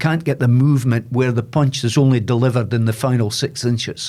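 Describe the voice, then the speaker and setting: In a Scottish accent, a man speaks fairly quickly in a somewhat breathy, medium-pitched voice with fairly even intonation, on a very clean recording with a silent background. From Aberdeen, Scotland. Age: 70s. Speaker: boxing coach and former sports presenter. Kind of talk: podcast interview answer.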